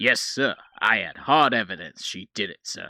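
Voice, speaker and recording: A man's gruff, put-on character voice at medium pitch and moderate pace, with big swings in loudness, in a dry, close sound with no echo. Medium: game stream. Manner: gruff, says "pal" and "sir" a lot.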